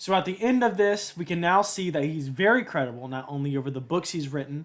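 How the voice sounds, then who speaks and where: A man's normal speaking voice, fairly high in pitch, at a fairly quick pace with ordinary pitch variation, in a very clean recording with a silent background. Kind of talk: commentary analysing a talk.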